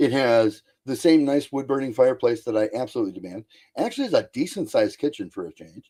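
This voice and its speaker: Speaking very fast at a medium pitch, a man uses lively intonation and a dark, mellow tone, with big swings in loudness. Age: 60s. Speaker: guest on paranormal chat show. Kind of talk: casual chat.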